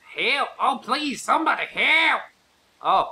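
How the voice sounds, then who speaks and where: A put-on character voice, female-sounding and raspy, high-pitched and very slow, with a Southern accent. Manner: desperate, calling for help.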